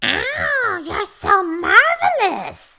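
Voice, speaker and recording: The speaker uses a put-on character voice. It reaches an extremely high pitch. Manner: mocking, sarcastic.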